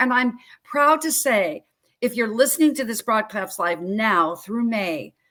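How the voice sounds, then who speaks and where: With an animated tone and lively intonation, a woman speaks at a high pitch. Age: 60s. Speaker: health coach. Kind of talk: interview.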